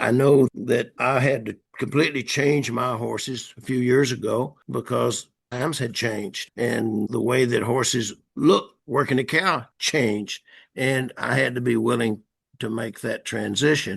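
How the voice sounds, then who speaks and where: Against a quiet background, a man talks at a fairly slow pace with vocal fry and fairly even intonation. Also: medium pitch for a man. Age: 80s+. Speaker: horse trainer. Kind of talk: casual chat. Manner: halting.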